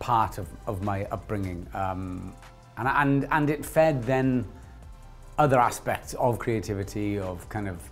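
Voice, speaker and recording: Over faint background music, a man talks at a fairly slow pace in a fairly low pitch. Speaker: actor interviewee. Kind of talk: interview answer. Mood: warm, reflective. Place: studio. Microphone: lapel.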